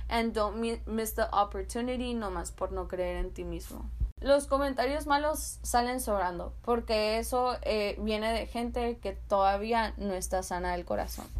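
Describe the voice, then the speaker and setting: Talking fairly slowly, a woman barely pauses at all. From US-Mexico border, San Luis, Arizona. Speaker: podcast host. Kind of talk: motivational monologue.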